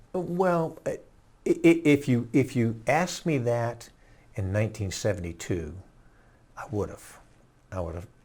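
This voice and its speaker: In a very clean recording with a silent background, a man of medium pitch speaks at a fairly slow pace, somewhat breathy, with very wide pitch swings and long, frequent pauses. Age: 70s. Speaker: war veteran. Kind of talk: interview testimony. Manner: halting.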